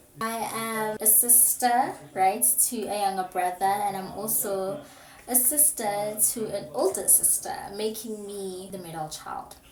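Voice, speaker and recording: Noticeable background noise and audible room echo surround the recording. A woman talks at a fairly slow pace and medium pitch. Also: ordinary pitch variation. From South Africa, Pretoria (Soshanguve). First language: Setswana / Pretoria Sepitori. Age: 20s. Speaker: YouTuber, university student. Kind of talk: casual vlog chat. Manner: animated.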